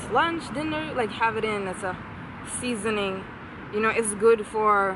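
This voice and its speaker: Against noticeable background noise, a woman speaks at a fairly slow pace in a dry sound with no echo. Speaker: home gardener vlogger. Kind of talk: casual vlog chat. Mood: cheerful, relaxed. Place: garden. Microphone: phone near.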